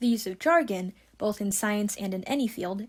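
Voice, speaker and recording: A woman's somewhat breathy voice sits at a medium pitch with lively intonation. The recording is very clean, with a silent background. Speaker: ecologist and science communicator. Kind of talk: scripted narration.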